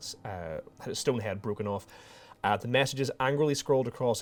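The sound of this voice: With ordinary pitch variation, the clip offers an unforced reading voice.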